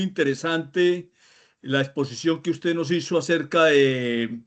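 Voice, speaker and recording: Against a quiet background, the speaker goes at a very slow pace with ordinary pitch variation. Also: man. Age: 60s. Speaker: course student, veteran car mechanic. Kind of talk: comment in an online class. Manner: hesitant, many fillers.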